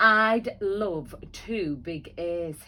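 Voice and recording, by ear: A woman uses a put-on character voice at a medium pitch, with a hissing quality and ordinary pitch variation.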